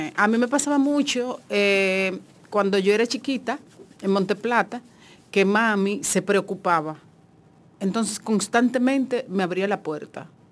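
A woman speaks in a normal speaking voice at medium pitch. Her pace is fairly slow, with ordinary pitch variation. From Dominican Republic, Monte Plata. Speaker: journalist. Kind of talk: casual chat.

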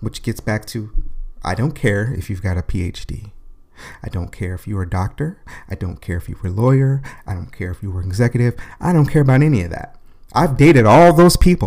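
In an animated tone, a man speaks at a fairly quick pace with very wide pitch swings, big swings in loudness, and a somewhat breathy voice. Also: fairly low pitch for a man. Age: 40s. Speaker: podcast host. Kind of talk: solo monologue podcast.

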